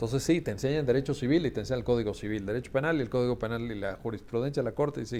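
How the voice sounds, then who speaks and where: A man talks at a very fast pace with hardly any pauses. His voice has a medium pitch, a dark, mellow tone and ordinary pitch variation. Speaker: law school founder and event host. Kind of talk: book presentation closing remarks.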